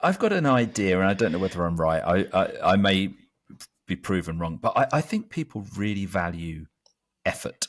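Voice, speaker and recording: Here a man talks with an English accent. His pace is moderate. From London, England. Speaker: magazine co-founder. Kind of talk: casual chat.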